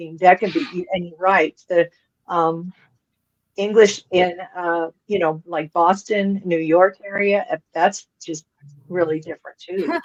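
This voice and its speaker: An ordinary speaking voice from a woman with a General American accent: medium pitch, fairly slow pace, fairly even intonation, big swings in loudness, and a dry, close sound with no echo. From Colorado. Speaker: podcast co-host. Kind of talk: casual chat.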